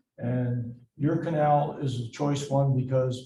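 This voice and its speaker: A man with an American accent, medium in pitch and monotone, flat in intonation, with audible room echo. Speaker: city council member. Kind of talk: public meeting remarks. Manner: loud.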